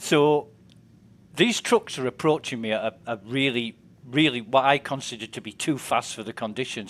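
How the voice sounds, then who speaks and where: A man at a medium pitch and moderate pace, with a Yorkshire accent, on a very clean recording with a silent background. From northern England, West Yorkshire. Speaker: game streamer. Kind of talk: casual chat.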